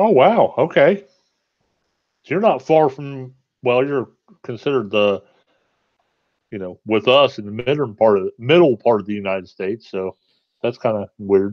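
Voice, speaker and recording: With lively intonation, a man speaks at a moderate pace and medium pitch, leaving long, frequent pauses. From Ohio. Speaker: co-host. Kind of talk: live stream chat.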